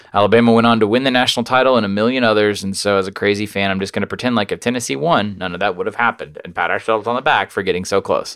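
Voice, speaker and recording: A man's fairly low voice at a very fast pace, ordinary pitch variation, hardly any pauses, and noticeable background noise. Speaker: podcast host. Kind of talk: casual chat.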